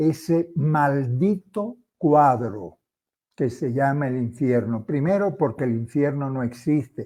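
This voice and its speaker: Speaking at a very slow pace, a man with fairly high pitch and a dark, mellow tone uses ordinary pitch variation. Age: 70s. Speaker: former Jesuit, religious commentator. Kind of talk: impassioned monologue. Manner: animated.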